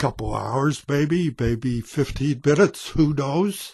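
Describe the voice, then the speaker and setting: Somewhat breathy speech comes at a fairly slow pace with ordinary pitch variation, in a dry, close sound with no echo over a quiet background. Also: man. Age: 70s. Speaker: vlogger. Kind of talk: personal testimony. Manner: halting.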